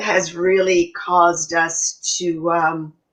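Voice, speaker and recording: A woman speaks at a medium pitch. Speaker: health and wellness coach. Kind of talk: casual chat. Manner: animated.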